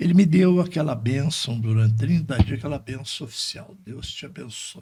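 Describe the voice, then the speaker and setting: A somewhat breathy man speaks at medium pitch and a moderate pace. His intonation is lively, with big swings in loudness. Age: 70s. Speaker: lawyer. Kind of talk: podcast interview, faith reflections and life stories.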